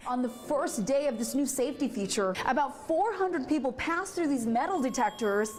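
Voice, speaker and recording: Against noticeable background noise, a woman talks at a fairly quick pace in a high pitch with lively intonation, hardly any pauses and very even loudness. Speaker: news anchor and reporter. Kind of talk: TV news anchor read.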